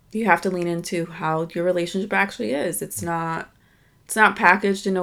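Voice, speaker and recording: A woman with an American accent talks at a fairly quick pace in a fairly low pitch. She has a plain, everyday voice. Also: very clean recording, silent background. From US, Dominican family. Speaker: podcast co-host. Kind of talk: casual chat.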